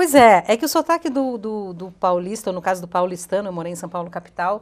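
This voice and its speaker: In an ordinary speaking voice at medium pitch, a woman talks at a fairly quick pace with ordinary pitch variation and big swings in loudness. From southern Brazil, Rio Grande do Sul interior (Cotiporã, Caxias do Sul). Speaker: TV presenter. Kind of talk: interview.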